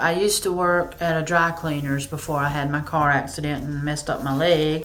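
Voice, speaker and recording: Audible room echo surrounds the voice. A woman talks with a Southern US accent. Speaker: YouTuber. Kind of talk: casual Q&A vlog. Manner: hesitant, many fillers.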